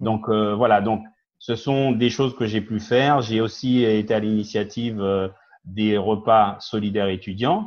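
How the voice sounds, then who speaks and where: A man talks at a fairly slow pace in a fairly low pitch, his intonation fairly even. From Guadeloupe, raised in mainland France from age ten. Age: 50s. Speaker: business owner and community activist. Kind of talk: TV talk show interview. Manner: hesitant, many fillers.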